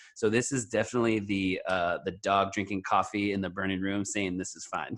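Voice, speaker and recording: A man's fairly low voice at a fairly quick pace, with monotone, flat intonation. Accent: American. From US West Coast, Pacifica, California. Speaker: hardcore punk vocalist. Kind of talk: casual chat. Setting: video call. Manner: fast.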